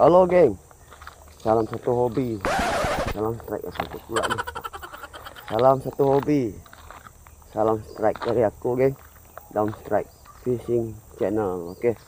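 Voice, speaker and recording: A man talks at a fairly slow pace, leaving long, frequent pauses, with ordinary pitch variation. The sound is dry with no echo, over light background noise. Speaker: fishing vlogger. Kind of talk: casual vlog chat. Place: waterside. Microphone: phone near.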